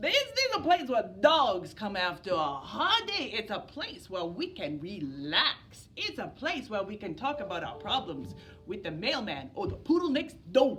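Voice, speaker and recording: Over clear music in the background, a woman does a put-on character voice at a fairly high pitch and a moderate pace. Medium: read story. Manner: easygoing, confident.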